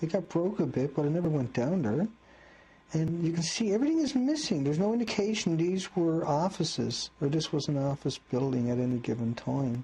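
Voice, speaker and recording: With a dark, mellow tone and a fairly high pitch, a man talks at a fairly quick pace, his intonation lively and his loudness very even. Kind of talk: casual commentary on video footage, conspiracy-style analysis.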